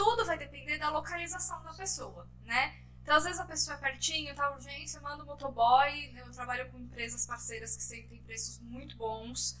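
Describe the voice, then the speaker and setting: A woman talks at a moderate pace with hardly any pauses, her loudness swinging widely. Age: 30s. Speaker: shoe business owner. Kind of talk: casual interview.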